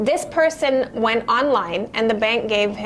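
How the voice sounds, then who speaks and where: Over noticeable background noise, a woman speaks with ordinary pitch variation. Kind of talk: casual chat. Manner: loud; animated.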